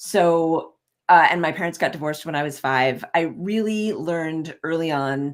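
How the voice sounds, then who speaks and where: Very clean recording with a silent background, an ordinary speaking voice at a moderate pace, ordinary pitch variation. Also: woman, fairly low pitch for a woman. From US, moved often (Ohio, New York City). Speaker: leadership and executive coach. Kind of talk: casual interview chat.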